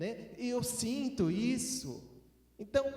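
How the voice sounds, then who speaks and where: With a Minas Gerais accent, a man speaks with ordinary pitch variation amid noticeable background noise and audible room echo. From Minas Gerais, Brazil. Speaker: preacher. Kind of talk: sermon.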